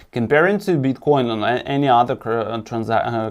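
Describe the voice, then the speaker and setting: On a very clean recording with a silent background, a man talks with a non-native accent. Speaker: crypto investment analyst. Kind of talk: presentation of an analysis. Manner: halting, with many repetitions and false starts.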